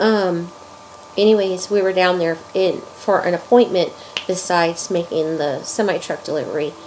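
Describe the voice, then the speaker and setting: A woman talks at a medium pitch with fairly even intonation. Noticeable background noise can be heard. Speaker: crochet video maker. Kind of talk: casual vlog. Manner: halting, many fillers.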